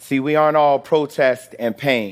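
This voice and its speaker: A man with an American accent speaks in a normal speaking voice at medium pitch. His intonation is fairly even, his pace moderate, and the recording very clean with a silent background. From US Midwest, Chicago. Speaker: organizer. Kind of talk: scripted talk on stage.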